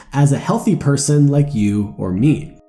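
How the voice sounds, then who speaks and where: Over music in the background, a man talks with lively intonation at a fairly high pitch. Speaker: motivational YouTuber. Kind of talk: personal story narration for animated video.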